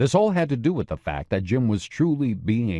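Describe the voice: A plain read-aloud delivery.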